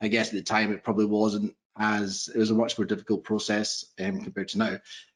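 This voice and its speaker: With a Scottish accent, a man speaks fairly quickly in a fairly low pitch. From Scotland. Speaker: proptech investor, former accountant. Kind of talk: panel interview on video call.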